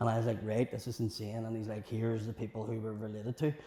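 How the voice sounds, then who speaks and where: In a very clean recording with a silent background, a man with a Belfast accent speaks at a very fast pace and a medium pitch, his dark, mellow tone somewhat breathy and his intonation monotone and flat. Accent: Belfast Northern Irish. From West Belfast, Northern Ireland. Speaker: comedian. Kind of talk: podcast interview answer. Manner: storytelling, humorous.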